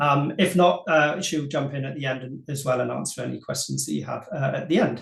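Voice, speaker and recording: Somewhat breathy and fairly high in pitch, a man talks at a fairly quick pace with fairly even intonation. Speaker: marketing agency co-founder. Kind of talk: webinar presentation. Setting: online webinar. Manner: fast.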